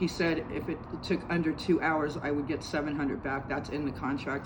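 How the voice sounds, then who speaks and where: Speech comes at a fairly quick pace amid audible room echo and noticeable background noise. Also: woman. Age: 60s. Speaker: homeowner making a complaint. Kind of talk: recorded complaint statement. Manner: halting.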